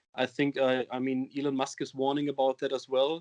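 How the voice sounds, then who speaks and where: A man with a German accent, fairly high in pitch, at a moderate pace. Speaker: metal band singer. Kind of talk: interview. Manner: halting, many fillers.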